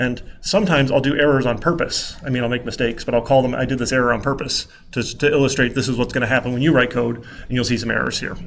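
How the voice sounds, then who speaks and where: The speaker rushes along at a very fast pace with hardly any pauses and fairly even intonation, and audible room echo fills the space. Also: man, medium pitch for a man. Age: 30s. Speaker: college computer science instructor. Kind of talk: lecture.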